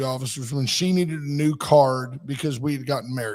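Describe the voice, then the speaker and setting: Animated in tone, a man with an American accent talks at a fairly quick pace and a fairly high pitch. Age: 60s. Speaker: radio talk show host. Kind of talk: casual talk radio chat.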